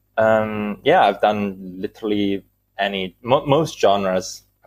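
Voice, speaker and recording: Here a man with a fairly low pitch talks at a fairly slow pace. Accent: Italian. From Italy. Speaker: music producer and composer. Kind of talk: casual interview. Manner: halting, many fillers.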